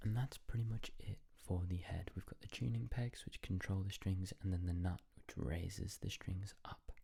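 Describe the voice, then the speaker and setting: Soft-spoken and somewhat breathy, a man talks at a moderate pace in a very deep, low pitch with a dark, mellow tone and ordinary pitch variation. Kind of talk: ASMR tutorial talk to camera.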